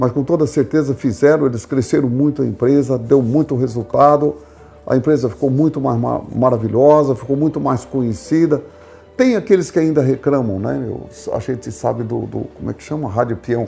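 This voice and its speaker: Over noticeable background noise, a man of medium pitch talks at a moderate pace with ordinary pitch variation. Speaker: retired company founder. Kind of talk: casual chat.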